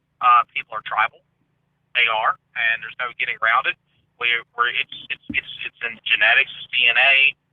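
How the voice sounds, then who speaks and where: A man with a Southern accent talks at a moderate pace, leaving long, frequent pauses while his loudness swings widely. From US South. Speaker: conspiracy theory commentator. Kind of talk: casual chat.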